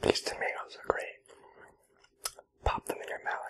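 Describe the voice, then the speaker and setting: Noticeable background noise surrounds a whispering voice. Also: man. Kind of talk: ASMR eating roleplay. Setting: close-mic home recording. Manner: whispered.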